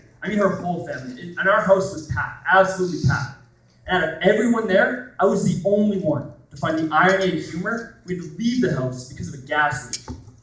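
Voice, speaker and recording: Speech comes at a very fast pace with big swings in loudness. Pitch variation is ordinary, and there's noticeable background noise. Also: man, high pitch for a man. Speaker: stand-up comedian. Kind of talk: stand-up comedy set, live club performance. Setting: comedy club stage with live audience.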